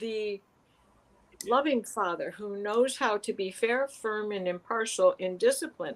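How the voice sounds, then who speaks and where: Speaking with an American accent, this voice moves at a fairly slow pace with ordinary pitch variation. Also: woman. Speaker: astrology and tarot reader. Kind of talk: casual chat.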